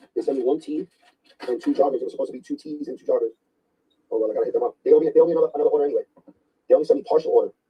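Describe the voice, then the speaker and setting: A man with a New York accent, talking at a very fast pace broken by long, frequent pauses. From New York, Brooklyn. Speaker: sneaker collector livestreamer. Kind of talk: casual livestream chat. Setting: livestream. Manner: loud, yelling at times.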